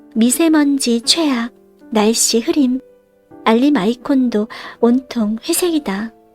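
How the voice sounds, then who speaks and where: A woman's high-pitched voice at a very slow pace, calm in tone with lively intonation, over music in the background. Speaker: audiobook reader. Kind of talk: audiobook reading, sleep-time listening. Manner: soft, calm, slow narration.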